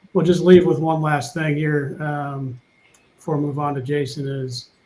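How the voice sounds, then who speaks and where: A man with a fairly high pitch speaks at a moderate pace, sounding somewhat breathy. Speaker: panel co-host and moderator. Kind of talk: casual panel discussion. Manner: mumbling, halting.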